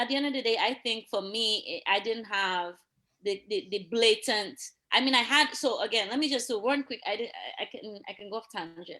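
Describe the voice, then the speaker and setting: A woman's animated, bright and sharp voice, fairly high in pitch with ordinary pitch variation, at a fairly quick pace in a Dominican accent. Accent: Dominican accent, noticeable. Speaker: police officer. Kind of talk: casual chat. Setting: live stream.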